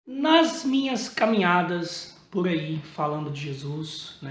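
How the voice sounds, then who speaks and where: High pitch from a male speaker, plus noticeable background noise and audible room echo. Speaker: evangelical preacher. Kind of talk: casual sermon to camera. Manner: informal, conversational.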